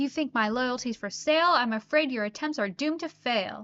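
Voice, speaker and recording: Using a put-on character voice, a woman speaks at a fairly quick pace with a high pitch. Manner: fierce, threatening.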